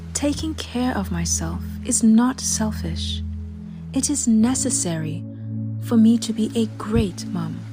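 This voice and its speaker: With a calm tone and a British accent, the speaker talks at a fairly slow pace while music plays in the background. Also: woman. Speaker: affirmations guide. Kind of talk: affirmation reading. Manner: calm, slow.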